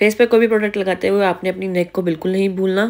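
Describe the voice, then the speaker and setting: A woman speaks in a monotone, flat way. The recording is very clean, with a silent background. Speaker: beauty YouTuber. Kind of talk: makeup tutorial voice-over.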